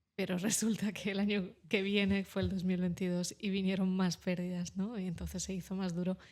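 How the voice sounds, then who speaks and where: A woman with a Russian accent speaks in a flat, monotone way at medium pitch. She hardly pauses at all. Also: moderate pace. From Ukraine, moved to Spain at 7. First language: Russian (speaking Spanish). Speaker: journalist and writer. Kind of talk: interview. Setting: studio.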